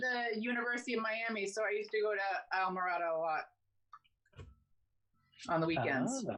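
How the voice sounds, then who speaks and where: With a slight Boston accent, a woman speaks at a fairly quick pace and a fairly high pitch, with lively intonation, very even loudness, and long, frequent pauses. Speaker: stand-up comedian.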